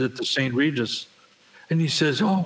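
A man with an American accent talks at a fairly quick pace in a fairly high pitch. His intonation is lively, and there is noticeable background noise. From Buffalo, New York. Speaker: recording studio owner and engineer. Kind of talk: casual interview storytelling.

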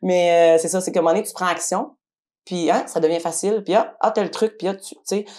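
A woman's medium-pitched voice, dark and mellow in tone, at a moderate pace with fairly even intonation and big swings in loudness. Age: 30s. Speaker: cleaning business owner. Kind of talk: testimony.

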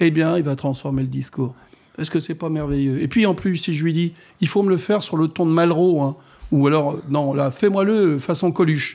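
A man speaks at a moderate pace with a fairly high pitch, ordinary pitch variation and a dark, mellow tone against a quiet background. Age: 70s. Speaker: mayor. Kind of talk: radio interview. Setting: radio studio. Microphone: studio mic.

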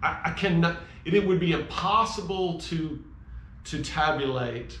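A man speaks at a very slow pace with lively intonation. Light background noise and audible room echo are present. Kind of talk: heartfelt tribute talk, sermon-like. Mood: reflective, grateful. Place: garage. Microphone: camera far.

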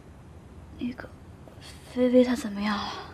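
Whispering at a very slow pace, a woman speaks in a tired tone. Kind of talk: scripted drama dialogue. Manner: weak, tired voice of sick person. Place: home room.

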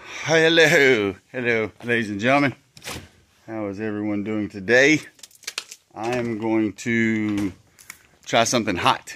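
Light background noise accompanies a man who pauses long and often. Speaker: vlogger. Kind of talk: casual vlog chat. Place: garage. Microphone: phone near.

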